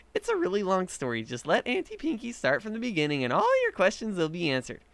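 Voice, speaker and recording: Putting on a character voice, a man talks very fast at a high pitch. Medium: read story. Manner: bubbly, giggly.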